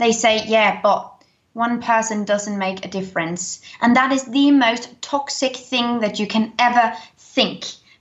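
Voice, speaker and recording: A woman speaks with a British accent. Her pitch is fairly high and her intonation fairly even. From Denmark. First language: Danish. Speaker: eco YouTuber. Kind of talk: interview.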